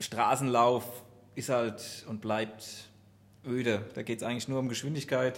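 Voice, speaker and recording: A man's medium-pitched voice, fairly slow and monotone, with long, frequent pauses and flat intonation. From Aschaffenburg area, Germany. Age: 30s. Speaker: amateur runner, IT worker. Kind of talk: casual chat.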